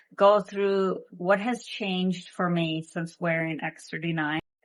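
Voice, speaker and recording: Fairly low-pitched and in a normal speaking voice, a woman at a fairly slow pace with fairly even intonation. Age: 50s. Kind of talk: product testimonial talk to camera.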